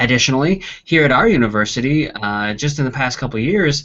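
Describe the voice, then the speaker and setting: The man's pitch sits at a medium level. He talks at a fairly quick pace. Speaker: university instructor. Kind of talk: lecture. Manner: fast.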